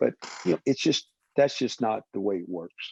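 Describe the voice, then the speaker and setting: Speaking at a fairly quick pace with a Southern US accent, this dark, mellow voice shows ordinary pitch variation over a quiet background, with a dry, close sound and no echo. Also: man. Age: 60s. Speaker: waterfowl conservationist. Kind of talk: podcast interview.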